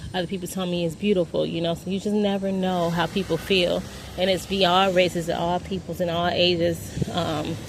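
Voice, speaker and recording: The voice runs in a monotone, flat intonation. Noticeable background noise is present. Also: woman, fairly low pitch for a woman, moderate pace. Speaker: vlogger. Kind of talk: personal monologue. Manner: rambling, halting.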